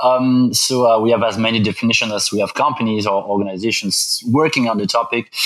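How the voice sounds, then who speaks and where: Noticeable background noise under a very fast delivery, its intonation fairly even. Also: man, medium pitch for a man. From Belgium. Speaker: business school professor. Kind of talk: interview. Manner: halting, many fillers.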